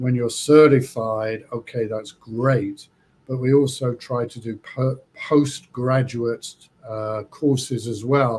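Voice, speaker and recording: With a somewhat breathy, medium-pitched voice, this man speaks in a flat monotone while his loudness swings widely. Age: 60s. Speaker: trichologist. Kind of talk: interview. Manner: halting.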